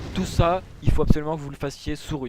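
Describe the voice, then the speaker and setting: The man's medium-pitched voice has a dark, mellow tone and moves at a fairly quick pace. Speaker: gaming tutorial creator. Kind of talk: tutorial. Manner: fast.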